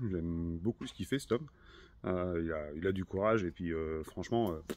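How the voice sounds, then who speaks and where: A man's very deep, low voice, showing ordinary pitch variation, keeps a moderate pace against a quiet background. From northern France, Hauts-de-France (Nord). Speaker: car restorer, video maker. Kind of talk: casual workshop vlog. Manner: casual, many hesitations.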